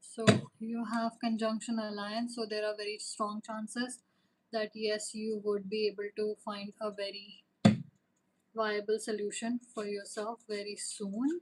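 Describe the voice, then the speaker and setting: A woman speaks at a fairly high pitch and a fairly slow pace. Her voice is somewhat breathy, with monotone, flat intonation. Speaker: tarot reader. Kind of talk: live stream chat with viewers. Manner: hesitant, many fillers.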